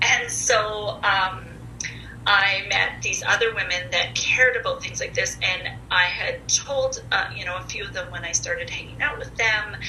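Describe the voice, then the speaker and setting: Amid noticeable background noise and audible room echo, a woman talks at a moderate pace with big swings in loudness. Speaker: mental health advocate and podcast guest. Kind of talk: casual interview, personal testimony.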